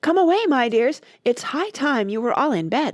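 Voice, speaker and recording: A high, female-sounding put-on character voice swings very widely in pitch. It sounds shaky and moves at a moderate pace. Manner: anxious, urgent.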